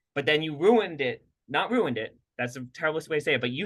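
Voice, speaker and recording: Pitch swings very widely as a man speaks at a fairly high pitch and a fairly quick pace. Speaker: podcast co-host and clinician. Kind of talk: casual chat. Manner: fast.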